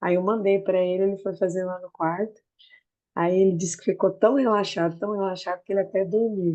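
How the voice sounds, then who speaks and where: Against a quiet background, a woman with a medium pitch and a dark, mellow tone talks at a fairly quick pace in a monotone, flat delivery. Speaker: student. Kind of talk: class discussion.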